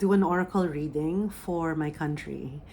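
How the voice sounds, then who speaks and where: A woman's voice comes through on a very clean recording with a silent background. Her pitch varies in an ordinary way. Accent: Filipino. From Philippines. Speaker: spiritual medium. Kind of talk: oracle reading and channeling; guided meditation. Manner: hesitant with fillers.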